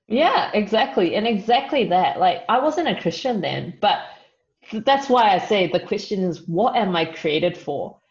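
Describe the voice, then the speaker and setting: A woman talks at a moderate pace with a New Zealand accent and a medium pitch. Her intonation is lively, and her voice is somewhat breathy. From New Zealand (Auckland), Chinese family. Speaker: youth leader and marketing professional. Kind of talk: podcast interview. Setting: video call.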